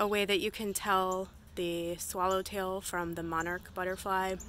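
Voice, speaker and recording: A woman speaks in a flat monotone, with light background noise and a dry sound that has no echo. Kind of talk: casual vlog chat. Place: garden. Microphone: phone near.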